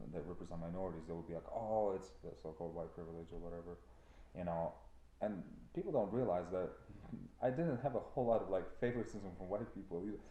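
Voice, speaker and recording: A dark, mellow voice speaks very fast with a Ukrainian accent and ordinary pitch variation. Audible echo fills the room. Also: man, very deep, low pitch for a man. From Ukraine. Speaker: trucking company owner. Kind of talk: casual chat. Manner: animated.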